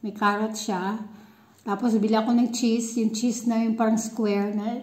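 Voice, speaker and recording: A woman speaks in a somewhat breathy voice. Audible room echo surrounds her. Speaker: vlogger. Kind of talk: casual vlog chat. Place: home room. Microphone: phone near.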